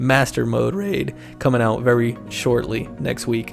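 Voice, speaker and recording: A man talks in an upbeat tone. Music plays in the background. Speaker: gaming content creator. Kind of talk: gaming build guide talk. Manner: casual, upbeat.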